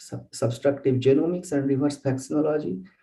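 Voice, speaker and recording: A man's dark, mellow voice sits fairly high in pitch, with audible echo from the room. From India. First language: Bengali. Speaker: bioinformatics researcher. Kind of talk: lecture. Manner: halting.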